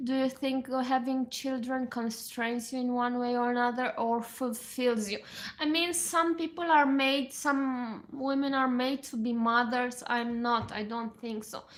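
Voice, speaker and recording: Fairly slow delivery with fairly even intonation. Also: woman. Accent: Romanian. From Romania. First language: Romanian. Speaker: musician and livestreamer. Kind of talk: casual livestream chat. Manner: halting.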